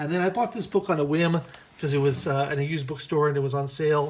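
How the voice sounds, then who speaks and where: This man talks at a very fast pace. His voice is fairly high and somewhat breathy. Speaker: book reviewer and writer. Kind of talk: casual bookshelf tour. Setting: lying on the floor at home. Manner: stammering, hesitant; mumbling.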